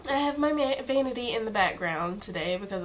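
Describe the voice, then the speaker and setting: At a moderate pace, a woman speaks with lively intonation, with audible room echo and noticeable background noise. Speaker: beauty vlogger. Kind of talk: casual product review. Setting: home filming in natural light. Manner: casual, chatty.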